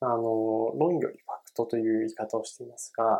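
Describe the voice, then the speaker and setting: A man speaks at a moderate pace. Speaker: podcast host, book reviewer. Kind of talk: solo book podcast talk. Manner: hesitant, many fillers; polite.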